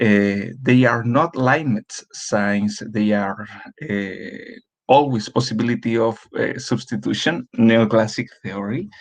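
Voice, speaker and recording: At a very slow pace, this speaker talks with ordinary pitch variation in a Spanish accent. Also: man, medium pitch for a man. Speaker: doctoral candidate. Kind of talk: conference presentation. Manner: halting.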